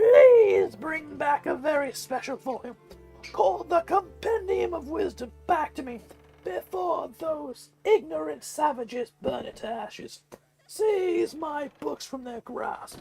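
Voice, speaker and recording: A put-on character voice speaks at a fairly slow pace. Faint music plays in the background. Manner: wise, pleading, imploring.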